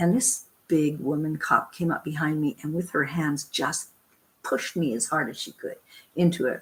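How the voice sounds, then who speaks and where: A woman with a Canadian accent speaks at a very deep, low pitch. Her voice is somewhat breathy, with ordinary pitch variation. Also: moderate pace. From western Canada, Vancouver/Richmond. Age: 70s. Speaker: protest camp cook. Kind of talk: interview storytelling. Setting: online video show.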